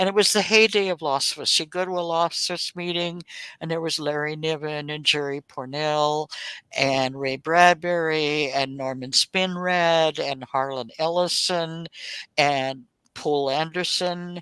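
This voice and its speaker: Speaking at a fairly slow pace, a woman with an American accent uses a very deep, low voice and fairly even intonation. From Oklahoma. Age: 70s. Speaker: author. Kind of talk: interview.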